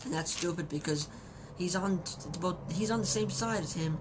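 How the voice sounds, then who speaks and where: A woman's lively intonation carries through audible room echo. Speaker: wrestling reviewer. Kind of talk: video review. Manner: halting, many repetitions.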